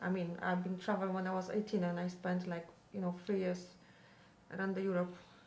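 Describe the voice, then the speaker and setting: A woman speaks with a Polish accent, with audible room echo and noticeable background noise. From Poland. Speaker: parent of teenager. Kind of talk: interview.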